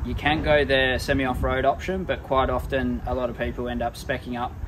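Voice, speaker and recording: Noticeable background noise sits under the voice. The pace is moderate. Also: man. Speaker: presenter. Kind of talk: product walkthrough. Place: street.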